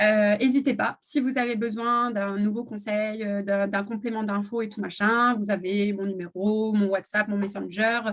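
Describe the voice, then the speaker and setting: A woman speaks in a fairly high pitch with monotone, flat intonation. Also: hardly any pauses. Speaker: essential oils seller. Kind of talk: live stream product presentation. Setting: live video stream. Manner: hesitant, many fillers.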